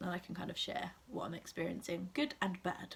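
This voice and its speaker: A woman is speaking. She has an English accent. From England. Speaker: assistant language teacher in Japan. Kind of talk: casual talk to camera. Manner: hesitant, many fillers.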